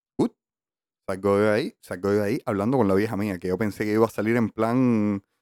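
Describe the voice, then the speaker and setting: At a fairly quick pace, a man speaks in a fairly low pitch with a dry, close sound with no echo. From Cuba, Havana (La Lisa). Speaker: podcast co-host. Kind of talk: casual chat. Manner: animated.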